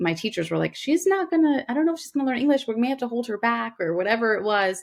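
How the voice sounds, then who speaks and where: A woman is talking. Her voice moves through very wide pitch swings. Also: very clean recording, silent background. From US, Queens, New York. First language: Gujarati. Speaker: doctor, lawyer and author. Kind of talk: podcast interview. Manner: halting.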